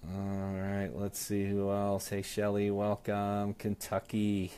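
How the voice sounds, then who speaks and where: The man has a fairly low pitch and a dark, mellow tone. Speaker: sales team trainer. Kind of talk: live stream training talk. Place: office. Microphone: earbuds.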